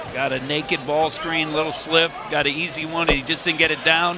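Speaking at a moderate pace, a man with a fairly high pitch is heard over noticeable background noise. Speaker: color commentator. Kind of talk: live sports commentary. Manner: analytical, conversational, steady pace.

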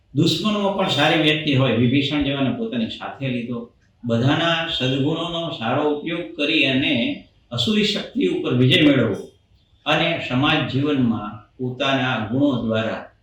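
Noticeable background noise runs behind the voice. A man speaks in a fairly high pitch with lively intonation. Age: 60s. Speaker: doctor and temple event attendee. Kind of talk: interview. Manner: formal.

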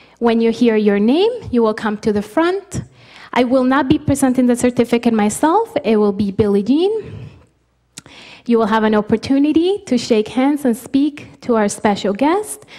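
In a dark, mellow tone, a woman with a high pitch speaks over a quiet background. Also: moderate pace. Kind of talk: formal instructions to an audience. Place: hall. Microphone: podium.

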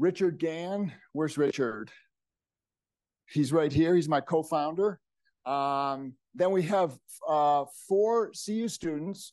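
A man's high-pitched, very slow speech with long, frequent pauses and ordinary pitch variation, over a quiet background. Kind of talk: event welcome remarks. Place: hall.

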